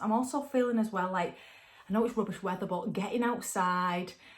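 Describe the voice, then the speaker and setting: At a moderate pace, a woman with a north-west English accent and a fairly high pitch sounds somewhat breathy, keeping very even loudness and ordinary pitch variation. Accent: woolly back (north-west English). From northern England. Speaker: tarot and angel card reader. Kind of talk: spiritual card reading guidance. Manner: casual, chatty with fillers.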